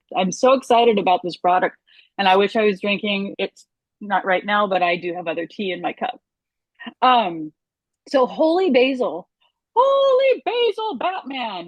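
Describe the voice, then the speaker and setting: At a moderate pace, a woman with a medium-pitched voice speaks with lively intonation and long, frequent pauses. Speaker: reflexologist and nutrition educator. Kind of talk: product presentation. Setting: group conference call.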